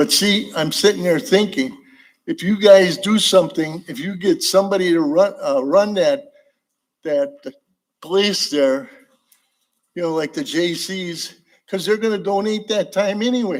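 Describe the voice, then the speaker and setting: With a Wisconsin accent, a man talks at a fairly slow pace and a high pitch for a man. His intonation is lively, broken by long, frequent pauses. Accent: Upper Midwest (Wisconsin). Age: 80s+. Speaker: public commenter. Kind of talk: public comment. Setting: council meeting chamber. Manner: rambling, halting.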